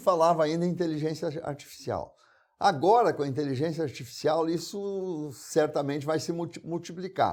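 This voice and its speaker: In a very clean recording with a silent background, a man with a high pitch talks at a moderate pace using ordinary pitch variation. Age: 70s. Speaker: TV interview host. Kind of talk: interview.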